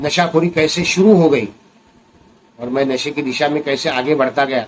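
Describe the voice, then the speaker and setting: A man speaks at a fairly high pitch with a Marathi accent. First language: Marathi (speaking Hindi). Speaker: recovering addict and addiction recovery vlogger. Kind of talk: personal testimony vlog.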